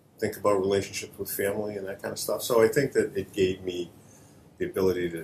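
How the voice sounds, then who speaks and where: Speech delivered at a very fast pace with a slight Boston accent. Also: man. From Boston area, Massachusetts (Chelsea). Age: 60s. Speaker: veteran charity executive, long-distance cyclist. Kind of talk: talk show interview.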